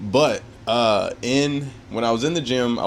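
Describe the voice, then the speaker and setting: His tone animated, a man speaks with ordinary pitch variation. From United States. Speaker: fitness vlogger. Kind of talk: casual vlog talk. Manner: fast.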